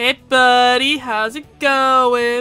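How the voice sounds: A woman's put-on character voice, high-pitched and strained, over faint background music.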